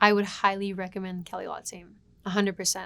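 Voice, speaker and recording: The speaker has an American accent and a fairly quick pace. The intonation is monotone and flat. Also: woman, very clean recording, silent background. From California. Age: 20s. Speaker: client giving a testimonial, preschool teacher. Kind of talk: client testimonial. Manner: casual, halting with fillers.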